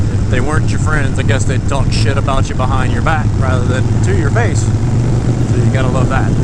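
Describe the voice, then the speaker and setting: The voice, with an American accent, moves at a moderate pace with hardly any pauses and very even loudness, amid audible room echo and noticeable background noise. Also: man. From Tennessee. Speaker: motorcycle vlogger. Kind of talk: casual ride-along narration. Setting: riding a motorcycle outdoors. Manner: relaxed, with filler words.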